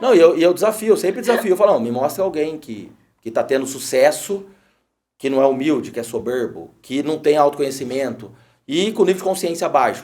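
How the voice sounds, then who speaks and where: Speaking at a fairly quick pace, a man with fairly high pitch uses lively intonation. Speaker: podcast host. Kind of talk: casual interview chat. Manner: hesitant, repeats words.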